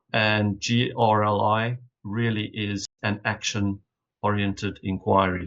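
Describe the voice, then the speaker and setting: A man speaks with a South African accent. His pitch is fairly low and his intonation flat and monotone. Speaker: leadership initiative representative. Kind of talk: conference opening reflection. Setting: video call from hotel room. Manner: formal.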